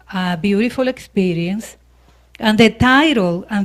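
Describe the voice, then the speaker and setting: Fairly slow speech with lively intonation, in a Spanish accent. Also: woman. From Dominican Republic / Puerto Rico. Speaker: minister. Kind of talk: sermon. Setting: church service with audience.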